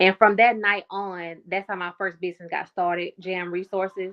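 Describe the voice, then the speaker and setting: An unremarkable speaking voice at a moderate pace. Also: woman. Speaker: pivot coach and military veteran. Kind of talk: interview.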